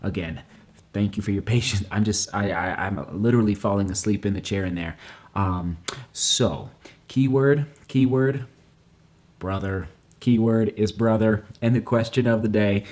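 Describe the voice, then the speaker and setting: A man speaks quietly at a moderate pace, his fairly low pitch showing ordinary variation. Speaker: running vlogger. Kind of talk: casual vlog talk. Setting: at home at night. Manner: quiet, hushed. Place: kitchen. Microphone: phone near.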